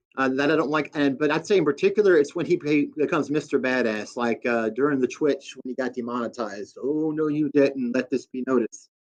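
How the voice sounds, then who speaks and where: Here a man speaks in a Southern US accent. His voice sits at a fairly high pitch. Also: ordinary pitch variation. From US Deep South. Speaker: guest. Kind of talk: casual chat.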